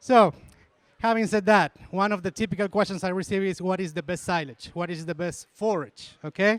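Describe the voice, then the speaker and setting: A man talks at a fairly quick pace in a high voice. The recording is very clean, with a silent background and a dry, close sound with no echo. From Argentina. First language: Spanish. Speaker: university dairy extension specialist. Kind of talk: lecture.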